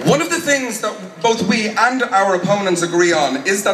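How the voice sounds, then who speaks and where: Projecting a raised voice with lively intonation, a man speaks at a moderate pace amid audible room echo and light background noise. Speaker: speaker. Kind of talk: political rally speech. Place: street.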